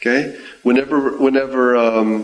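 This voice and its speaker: A man's plain, everyday voice at medium pitch, with ordinary pitch variation. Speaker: class member. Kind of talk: group discussion comment.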